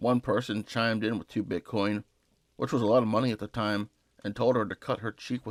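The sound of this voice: With fairly even intonation, someone reads in an unforced voice.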